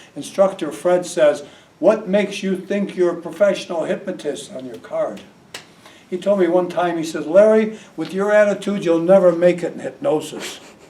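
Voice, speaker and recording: Over noticeable background noise, a man speaks at a moderate pace in a high voice with ordinary pitch variation. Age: 80s+. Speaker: hypnotist. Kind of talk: talk to audience.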